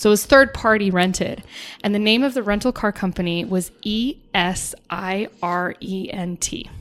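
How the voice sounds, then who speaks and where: Using a plain, everyday voice with an American accent, a woman speaks at a moderate pace and medium pitch with ordinary pitch variation. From Ireland and US. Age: 30s. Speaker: airline ramp agent. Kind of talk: casual chat.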